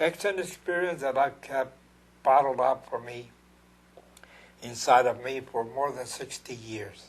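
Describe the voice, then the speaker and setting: Somewhat breathy and medium in pitch, a man talks at a fairly slow pace with an American accent and ordinary pitch variation. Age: 80s+. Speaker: war veteran and painter. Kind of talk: interview testimony. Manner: halting.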